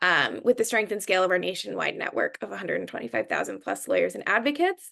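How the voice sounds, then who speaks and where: A woman's voice against a quiet background. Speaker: staff attorney. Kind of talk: webinar presentation. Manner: fast.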